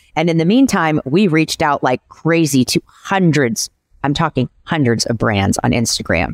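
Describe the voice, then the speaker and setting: A woman with an American accent and a very deep, low voice uses vocal fry, her pitch swinging very widely while her loudness stays very even. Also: moderate pace, dry, close sound with no echo. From Kansas City, US Midwest. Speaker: PR agency owner. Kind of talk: casual interview.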